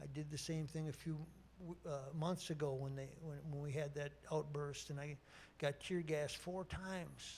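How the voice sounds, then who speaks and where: A man speaks in an Upper Midwest US accent with a fairly high pitch. His voice is somewhat breathy and his intonation monotone and flat. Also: moderate pace. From Minnesota. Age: 60s. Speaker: sports broadcaster, keynote speaker. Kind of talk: keynote speech.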